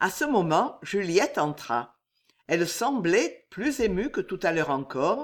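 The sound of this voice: The speaker uses an unforced reading voice, and the background is quiet.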